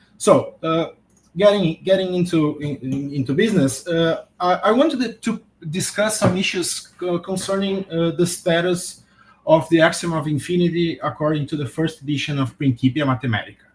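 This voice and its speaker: Speaking with a non-native accent, a man uses a high pitch with ordinary variation and keeps a moderate pace. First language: not English. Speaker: philosophy academic, conference speaker. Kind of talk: academic lecture. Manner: halting, many fillers and repetitions.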